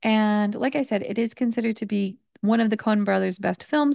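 A woman speaks at a fairly quick pace and medium pitch with an American accent, in an unremarkable speaking voice. The sound is dry and close with no echo, and the background is quiet. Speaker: English teacher. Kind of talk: educational podcast monologue. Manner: clear, instructive.

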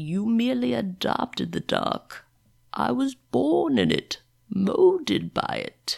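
This is a put-on character voice. It moves at a fairly slow pace. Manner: theatrical, menacing.

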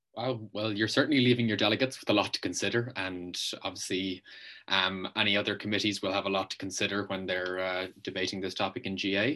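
A man's fairly low, bright, sharp voice with an Irish accent, very fast and with fairly even intonation, against a quiet background. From Ireland. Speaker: student media interviewer. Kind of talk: interview.

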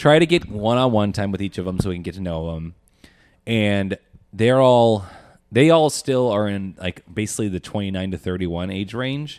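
A man with a plain, everyday voice speaks at a fairly low pitch and a moderate pace, his intonation lively. The recording is very clean, with a silent background. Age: 30s. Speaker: co-host, fourth-year medical student. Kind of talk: casual chat.

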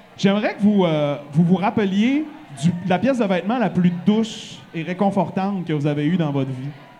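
Room echo and noticeable background noise surround a man speaking at a moderate pace. His high-pitched voice is animated, with lively intonation. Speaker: radio host and podcast host. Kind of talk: live podcast chat before an audience. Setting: bar stage with live audience.

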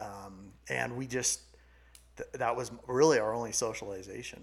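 In an unremarkable speaking voice, a man with an American accent talks at a medium pitch with fairly even intonation. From California. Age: 40s. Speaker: sales coach and business founder. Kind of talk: casual chat.

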